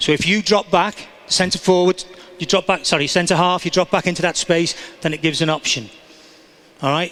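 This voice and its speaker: The man's high-pitched voice keeps a fairly even intonation. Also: moderate pace. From England. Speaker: soccer coach. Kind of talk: coaching demonstration. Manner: instructive, encouraging.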